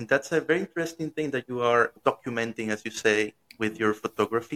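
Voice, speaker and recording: Recorded with a dry, close sound with no echo, a man with a Spanish accent speaks in a bright, sharp tone at a medium pitch with ordinary pitch variation. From Venezuela. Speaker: podcast host. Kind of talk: interview. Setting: live-streamed remote interview.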